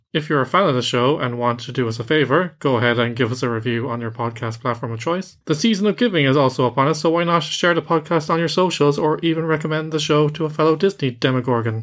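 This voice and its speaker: Talking at a very fast pace with hardly any pauses, a man with a fairly high voice speaks in an Irish accent. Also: ordinary pitch variation. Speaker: podcast host, film reviewer. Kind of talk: casual review chat; scripted show outro.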